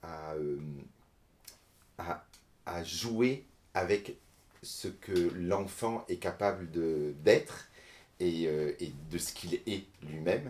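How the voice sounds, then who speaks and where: A man speaks very slowly in a very deep, low voice with ordinary pitch variation. He takes long, frequent pauses. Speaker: storyteller. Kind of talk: interview. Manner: halting, many hesitations.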